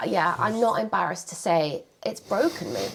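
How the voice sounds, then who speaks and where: A woman speaks very slowly in an English accent. Noticeable background noise runs underneath. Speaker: couple vlogger. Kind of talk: casual chat.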